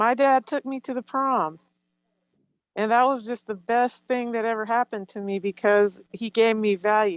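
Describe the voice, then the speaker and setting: A woman with a plain, everyday voice speaks at a moderate pace, fairly high in pitch with ordinary pitch variation, in a dry, close sound with no echo. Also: quiet background. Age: 60s. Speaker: webinar attendee, home visiting staff. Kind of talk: webinar discussion.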